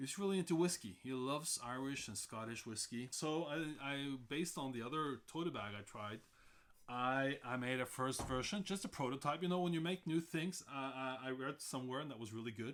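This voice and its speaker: At a fairly quick pace, a man with a Norwegian accent talks at a medium pitch with ordinary pitch variation. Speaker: sailor and hobby sewer. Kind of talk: casual tutorial vlog. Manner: halting, many fillers and repeats.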